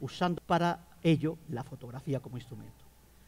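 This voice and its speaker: The voice is somewhat breathy, with a dark, mellow tone, at a moderate pace. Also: man. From Catalonia, Spain. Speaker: geographer, academic panelist. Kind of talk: book presentation talk.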